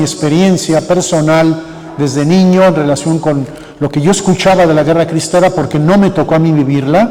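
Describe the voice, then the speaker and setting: A man talks with fairly even intonation amid noticeable background noise and audible room echo. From Mexico, Michoacán (Sahuayo area). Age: 70s. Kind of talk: conference talk. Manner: halting.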